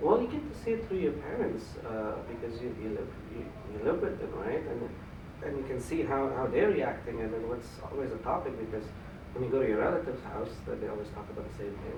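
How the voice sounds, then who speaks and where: A man talks at a fairly quick pace, and noticeable background noise runs through the recording. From Afghanistan. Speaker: former refugee. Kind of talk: interview answer.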